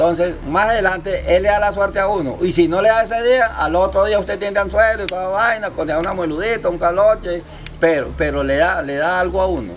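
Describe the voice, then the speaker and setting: A man's high-pitched voice with ordinary pitch variation, a fairly quick pace and hardly any pauses, over noticeable background noise. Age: 70s. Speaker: fisherman and local elder. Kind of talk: interview, storytelling. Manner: halting, many repetitions.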